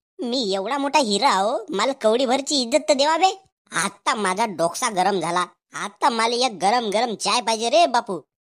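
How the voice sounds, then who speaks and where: In a cartoonish character voice, a woman speaks at a moderate pace with a fairly high pitch and lively intonation. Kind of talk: comic overacting. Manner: swaggering, mixing Hindi into Marathi.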